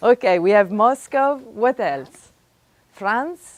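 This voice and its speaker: A woman's fairly high voice at a very slow pace, with very wide pitch swings. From Italy, Florence. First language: Italian. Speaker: physics professor. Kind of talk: lecture. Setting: classroom with live audience. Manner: animated.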